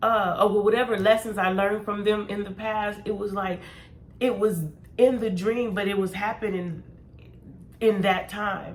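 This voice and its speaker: With long, frequent pauses, a woman speaks at a moderate pace and medium pitch in a monotone, flat intonation, amid audible room echo and noticeable background noise. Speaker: tarot reader. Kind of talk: casual chat. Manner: mumbling.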